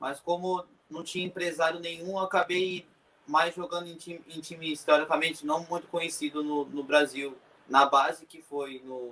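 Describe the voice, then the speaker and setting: A man with an unremarkable speaking voice talks at a moderate pace in a fairly high pitch, his intonation fairly even but his loudness swinging widely. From Brazil, Cotia, São Paulo state. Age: 20s. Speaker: professional footballer. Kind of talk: interview.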